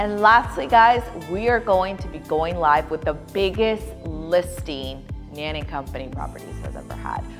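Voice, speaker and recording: The speaker has an upbeat tone and moves at a fairly slow pace. Music plays in the background. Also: woman. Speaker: luxury real estate agent. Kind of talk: casual talk to camera.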